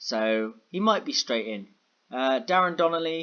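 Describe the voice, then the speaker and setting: Quietly and at a fairly slow pace, a man speaks with ordinary pitch variation. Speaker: gaming YouTuber. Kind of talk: gameplay commentary. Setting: home in a block of flats at night. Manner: quiet, keeping noise down.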